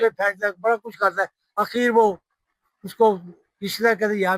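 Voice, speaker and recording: The recording is dry and close with no echo, and a man speaks in a high pitch with monotone, flat intonation. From Pakistan. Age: 80s+. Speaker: poet and film lyricist. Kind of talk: interview answer.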